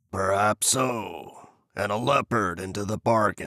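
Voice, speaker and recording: Doing a put-on character voice, a man growls in a raspy, fairly low pitch at a fairly slow pace. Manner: growling.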